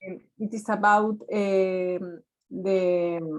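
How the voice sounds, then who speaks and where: This woman has a Spanish accent. She talks at a medium pitch. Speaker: research student. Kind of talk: seminar discussion. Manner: halting.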